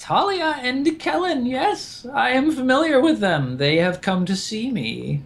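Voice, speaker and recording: A man puts on a cackling character voice at an extremely high pitch, going at a fairly slow pace with hardly any pauses. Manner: cackling, sinister.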